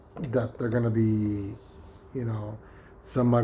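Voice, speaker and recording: A man speaks at a medium pitch. Noticeable noise sits in the background. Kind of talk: casual talk to camera. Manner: hesitant, rambling, many fillers.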